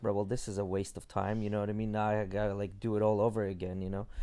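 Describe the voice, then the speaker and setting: A man talks at a very fast pace. His voice is fairly low in pitch. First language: not English. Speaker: podcast host. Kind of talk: casual chat.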